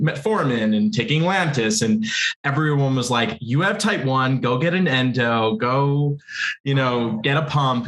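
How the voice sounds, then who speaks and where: A man with an ordinary speaking voice at a medium pitch. He speaks at a fairly slow pace. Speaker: panel guest with type 1 diabetes. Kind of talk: casual panel chat.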